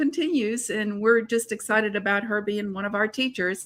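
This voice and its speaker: A woman with a slight Alabama accent speaks at a moderate pace in a bright, sharp tone of fairly high pitch, with ordinary pitch variation. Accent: slight Southern (Mobile, Alabama). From US South, Mobile, Alabama. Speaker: co-host of online art interviews. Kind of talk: casual live-stream interview. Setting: live online video broadcast.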